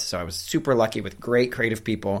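A man's medium-pitched voice with an American accent and ordinary pitch variation, on a very clean recording with a silent background. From US Midwest, Cleveland suburb, Ohio. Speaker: career coach for actors, former actor. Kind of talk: podcast interview. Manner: animated.

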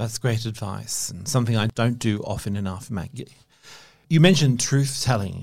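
This voice is somewhat breathy, with ordinary pitch variation. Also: man, medium pitch for a man, moderate pace. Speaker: podcast host. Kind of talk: interview conversation.

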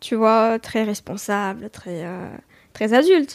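A woman's fairly high voice with ordinary pitch variation, on a very clean recording with a silent background. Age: 20s. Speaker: singer-songwriter. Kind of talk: interview. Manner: hesitant, many fillers.

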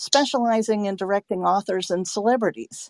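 A woman's voice with ordinary pitch variation, in a dry, close sound with no echo. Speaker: podcast host and audiobook narrator. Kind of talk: scripted introduction; casual interview. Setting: online audio room. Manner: softened, excited tone.

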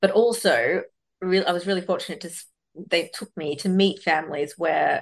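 Talking at a fairly quick pace, a woman speaks with an Australian accent. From Australia, western Sydney. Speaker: debut novelist. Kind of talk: interview conversation. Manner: halting, many fillers and repetitions.

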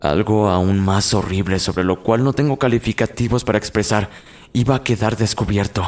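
A man's ordinary speaking voice, fairly low in pitch with ordinary pitch variation, at a moderate pace and very even loudness. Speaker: podcast narrator of horror stories. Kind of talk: horror story narration, first-person, eerie and suspenseful. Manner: descriptive, gloomy, building dread.

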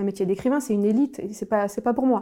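The recording is very clean, with a silent background. A woman with a fairly high, dark, mellow voice talks at a very fast pace. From southern France (Nîmes). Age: 30s. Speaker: former bank employee turned writer. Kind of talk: personal testimony. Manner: hesitant, frequent fillers and repetitions.

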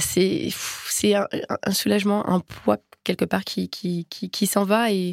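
A fairly slow pace on a very clean recording with a silent background. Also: woman, dry, close sound with no echo. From France, Nantes. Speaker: athlete. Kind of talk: interview.

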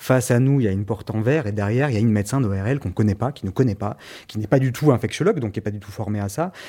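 In a very clean recording with a silent background, a man with a dark, mellow tone talks at a very fast pace. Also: medium pitch for a man, ordinary pitch variation. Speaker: person living with HIV. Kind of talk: personal testimony.

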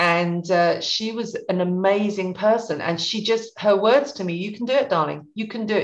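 Speaking in an English accent, a woman talks at a moderate pace with hardly any pauses. Her pitch is medium, with ordinary variation. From Suffolk, England. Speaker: beauty brand founder. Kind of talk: interview.

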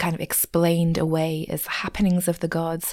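This woman has an English accent. Her voice sits at a fairly low pitch. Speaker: podcast host. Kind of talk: unscripted casual ramble about a book, with some reading aloud. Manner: rambling, casual.

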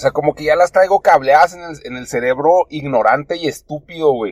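This voice belongs to a man. The sound is dry and close, without any echo. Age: 30s. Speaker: podcast host. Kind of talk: casual monologue. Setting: in a car. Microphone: poor audio.

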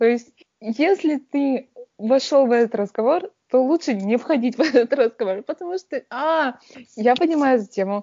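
Speaking at a moderate pace, a woman uses lively intonation in a high-pitched voice. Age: 30s. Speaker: podcast co-host. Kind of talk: casual chat. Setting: video call.

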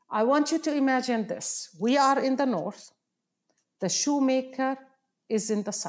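Pausing long and often, a woman speaks at a fairly slow pace in a high voice with ordinary pitch variation. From Palestine. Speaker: professor and nonprofit founder. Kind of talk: interview. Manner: halting.

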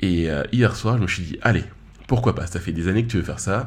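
A somewhat breathy man at a moderate pace, with ordinary pitch variation and audible room echo. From Paris region. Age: 20s. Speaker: podcast host. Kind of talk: solo podcast monologue. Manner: casual, filler-heavy.

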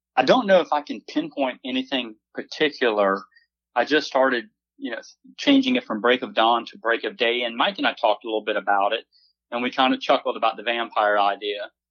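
A man talks at a fairly quick pace in a plain, everyday voice. His pitch sits in the medium range and varies in an ordinary way. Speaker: singer-songwriter. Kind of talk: casual chat.

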